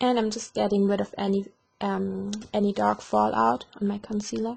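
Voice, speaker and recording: Speaking in a German accent, a woman keeps a moderate pace. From Germany. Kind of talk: makeup tutorial talk to camera.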